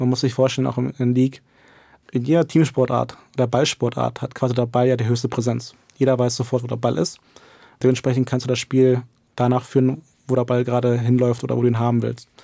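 Very fast and monotone, a man delivers flat intonation in a dark, mellow tone. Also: medium pitch for a man. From Germany. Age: 20s. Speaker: esports coach. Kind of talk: interview.

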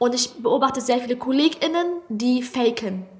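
In a Hessian accent, a woman talks at a moderate pace. Her pitch variation is ordinary. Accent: Hessian, noticeable sch for ch. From Germany, Hesse. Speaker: comedian. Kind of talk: casual chat.

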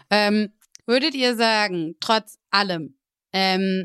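An unremarkable speaking voice comes from a woman with a fairly high pitch and ordinary pitch variation. The recording is very clean, with a silent background. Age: 20s. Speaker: podcast host and partner manager. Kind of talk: casual interview.

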